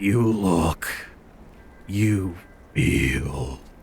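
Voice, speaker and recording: A man puts on a character voice that is gravelly and raspy. It sits very deep and low, with clear background noise behind it. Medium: read story. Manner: halting broken phrasing, chooses words slowly; menacing.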